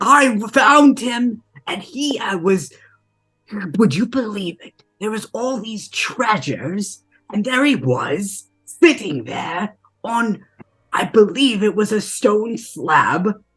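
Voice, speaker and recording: A put-on character voice speaks at a fairly high pitch and a very slow pace. Music plays in the background. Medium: actual play. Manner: cheerful, rambling, innocent.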